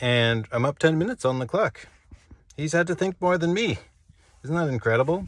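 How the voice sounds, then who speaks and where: The speech runs at a fairly quick pace with lively intonation, broken by long, frequent pauses. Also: man, fairly high pitch for a man. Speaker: amateur chess player recapping his games. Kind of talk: casual solo game recap monologue. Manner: animated, excited.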